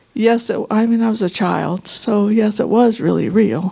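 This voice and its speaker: Using an ordinary speaking voice, a woman talks at a fairly slow pace with fairly high pitch and fairly even intonation. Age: 60s. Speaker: workshop participant sharing healing story. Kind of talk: testimony.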